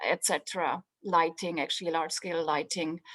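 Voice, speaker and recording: The recording is dry and close with no echo as a woman speaks with a Swiss accent. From Switzerland, Swiss mountains. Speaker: professor, materials scientist. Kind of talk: presentation in online info session.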